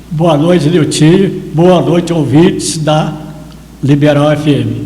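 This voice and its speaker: At a very slow pace and very even loudness, a man with a fairly high pitch and fairly even intonation speaks over noticeable background noise with audible room echo. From Brazil, Minas Gerais, Carmo do Paranaíba area. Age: 70s. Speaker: photographer and local historian. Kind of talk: interview storytelling.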